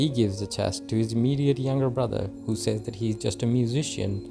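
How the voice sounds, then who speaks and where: A man talks fairly quickly, with music behind him. His pitch sits in the middle range and varies in an ordinary way. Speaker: movie recap narrator. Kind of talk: movie recap narration.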